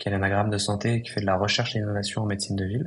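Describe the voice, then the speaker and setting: Very fast and fairly low, a man's voice keeps fairly even intonation. It sounds somewhat breathy. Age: 20s. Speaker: psychiatrist and entrepreneur. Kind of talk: podcast interview. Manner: hesitant, many fillers.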